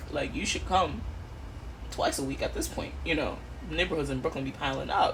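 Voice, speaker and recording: A woman's voice carries audible room echo. Noticeable background noise runs underneath. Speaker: vlogger. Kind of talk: casual vlog talk. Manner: casual, filler-heavy; loud.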